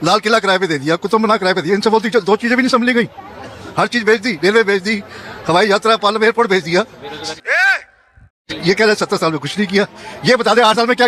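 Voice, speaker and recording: Crowd noise fills the background as a man talks in a high pitch with an animated tone. His pitch varies in an ordinary way, and he leaves long, frequent pauses. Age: 70s. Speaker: street interviewee. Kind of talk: heated debate.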